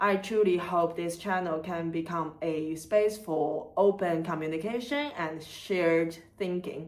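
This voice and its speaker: Against noticeable background noise and audible room echo, a woman talks with a Chinese accent at a fairly low pitch. Her pace is fairly slow, with ordinary pitch variation and hardly any pauses. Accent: Chinese accent, non-native English. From China, Chengdu (southwest). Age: 30s. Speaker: content creator and museum worker. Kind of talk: scripted channel introduction.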